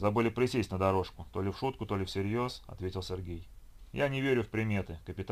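Ordinary pitch variation in plain reading aloud

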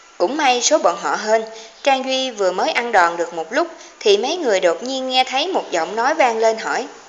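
The speaker is reading. It is plain reading aloud.

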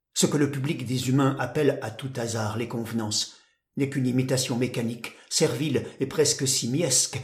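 Someone reads a text aloud. Their voice is natural.

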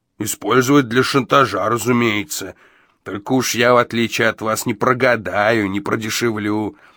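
An unforced reading voice, intonation fairly even

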